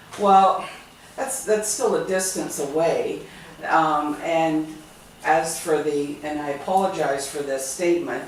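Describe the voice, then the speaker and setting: With noticeable background noise and audible room echo, a woman speaks at a fairly low pitch and a fairly slow pace, her pitch varying by an ordinary amount. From Ontario, Canada (Stratford). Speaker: charity volunteer. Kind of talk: group discussion.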